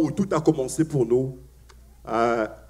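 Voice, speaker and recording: A man talks at a fairly slow pace. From Africa. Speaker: pastor. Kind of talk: sermon. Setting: church. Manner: hesitant, many fillers and repetitions.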